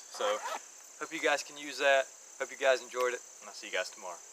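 A man talks with ordinary pitch variation. The sound is dry with no echo, though background noise is noticeable. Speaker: bible video host. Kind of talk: casual religious teaching. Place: forest. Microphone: camera far.

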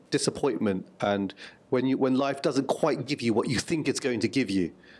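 Words come very fast from this man. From England, Luton; England. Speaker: writer and journalist; interviewee. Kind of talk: interview. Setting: press junket interview in Seattle. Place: meeting room. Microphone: handheld.

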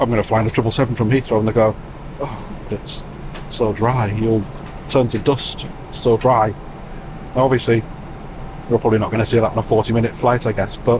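A man speaks at a fairly quick pace in a monotone, flat delivery, with noticeable background noise behind him. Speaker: travel vlogger. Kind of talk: casual vlog chat. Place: plane. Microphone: lapel.

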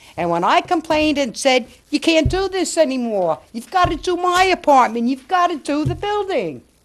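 A woman speaks with very wide pitch swings. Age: 60s. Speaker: resident addressing city council. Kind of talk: public comment. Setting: council chambers.

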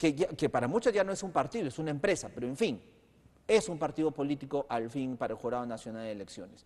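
His pitch sits fairly high for a man and swings very widely. The man talks at a very fast pace. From Peru. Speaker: TV news host. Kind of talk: political interview. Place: studio. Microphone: lapel.

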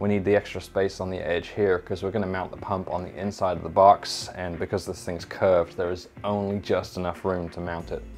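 With a plain, everyday voice, a man speaks fairly quickly and with fairly even intonation over light background noise. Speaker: overlanding DIY creator. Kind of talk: tutorial. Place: workshop.

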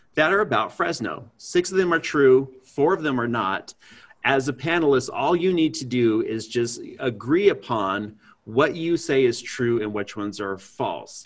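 Lively intonation marks this man's speech. His pace is moderate, and the background stays quiet. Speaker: podcast host. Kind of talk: podcast host introduction. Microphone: earbuds.

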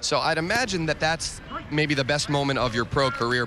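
Over music in the background, a man with a fairly high pitch talks at a moderate pace with ordinary pitch variation. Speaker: sports reporter. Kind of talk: interview. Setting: baseball dugout.

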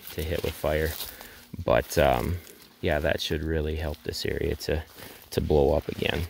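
The speaker goes at a moderate pace with long, frequent pauses, over noticeable background noise. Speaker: land management practitioner. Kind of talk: outdoor tutorial walkthrough. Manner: casual, hesitant with fillers.

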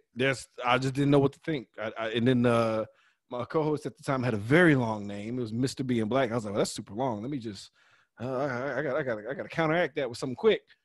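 Against a quiet background, a man talks at a very fast pace at medium pitch with ordinary pitch variation. The sound is dry with no echo. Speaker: podcast host. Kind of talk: casual chat. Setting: video call. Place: home room. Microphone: studio mic.

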